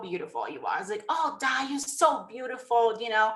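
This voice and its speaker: Raising and projecting her voice, a woman with a Brazilian Portuguese accent speaks with lively intonation. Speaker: network marketing distributor. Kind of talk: motivational presentation. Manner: emotional.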